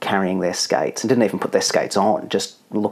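The pitch moves in an ordinary way as the text is read aloud in a natural voice.

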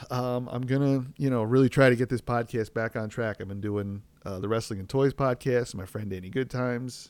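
In a very clean recording with a silent background, a man with an American accent and an unremarkable speaking voice talks at a fairly quick pace with hardly any pauses, his medium pitch following a fairly even intonation while his loudness swings widely. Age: 30s. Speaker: podcast host and parent. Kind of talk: casual solo podcast monologue. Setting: home recording with outdoor noise.

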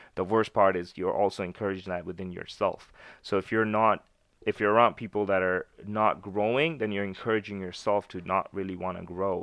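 A plain, everyday voice with a Canadian accent, at a fairly quick pace with fairly even intonation. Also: man, fairly low pitch for a man. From Canada, Winnipeg. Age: 20s. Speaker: entrepreneur with a clothing brand. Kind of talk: casual chat.

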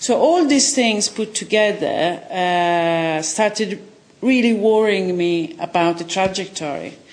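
This woman speaks with an Italian accent at a medium pitch. Her pace is very slow, but her intonation is lively. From Italy. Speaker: film director and journalist. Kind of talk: interview.

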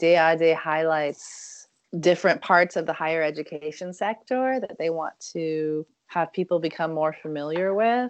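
A woman speaks in an unremarkable speaking voice, fairly low in pitch, at a fairly slow pace. Her pitch variation is ordinary. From Germany (American military family). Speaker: university international education director. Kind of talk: interview.

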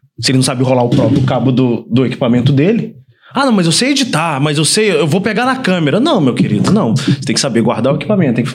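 A man with a fairly high pitch, very wide pitch swings and a very fast pace at very even loudness, plus audible room echo and noticeable background noise. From Volta Redonda, interior of Rio de Janeiro state, Brazil. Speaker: filmmaker and production company owner. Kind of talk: casual chat.

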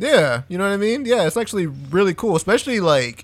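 In a normal speaking voice, a man talks at a fairly quick pace with lively intonation. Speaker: podcast co-host. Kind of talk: casual chat.

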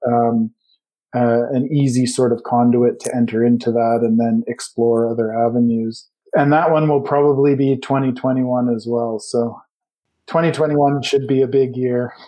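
A man with a Western Canadian accent speaks in a medium pitch at a fairly slow pace, his intonation monotone and flat. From Canada, British Columbia. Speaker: geography professor. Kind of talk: interview.

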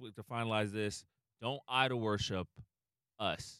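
A man with an unremarkable speaking voice and medium pitch talks at a moderate pace with fairly even intonation, in a dry, close sound with no echo. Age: 30s. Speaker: podcast host, comedian. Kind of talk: casual chat.

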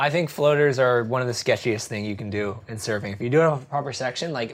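This man has an ordinary speaking voice at a medium pitch, with ordinary pitch variation and an American accent, talking at a fairly quick pace. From New Jersey. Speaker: surf magazine editor. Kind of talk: interview.

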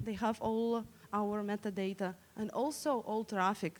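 A woman speaks with a Russian accent. Her pitch sits fairly high. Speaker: digital security researcher. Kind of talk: conference talk. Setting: stage with audience. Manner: interactive.

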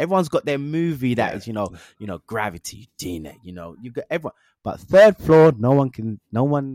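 In a London accent, the speaker comes through on a very clean recording with a silent background. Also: man, dry, close sound with no echo. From Northwest London. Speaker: actor and motion capture performer. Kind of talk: casual interview chat.

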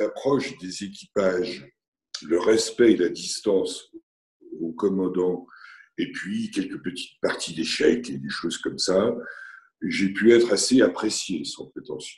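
A man talks at a very slow pace with long, frequent pauses. His loudness swings widely. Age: 60s. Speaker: retired business owner. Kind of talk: interview.

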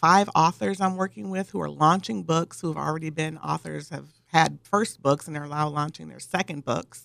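The pace here is moderate. It is delivered with an American accent. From Michigan, US Midwest. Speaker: PR and marketing consultant. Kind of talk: radio interview. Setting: radio studio. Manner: frequent fillers (um).

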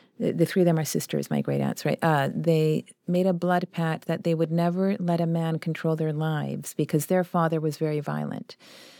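A woman's dark, mellow voice, fairly low and monotone, with hardly any pauses, in a dry, close sound with no echo. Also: moderate pace. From Chile, raised in Vancouver, Canada. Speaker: actor and playwright. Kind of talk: interview.

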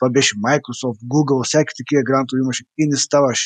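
In a normal speaking voice, a man talks at a fairly quick pace and fairly high pitch, the sound dry and close with no echo. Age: 40s. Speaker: entrepreneur and author. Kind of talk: online interview.

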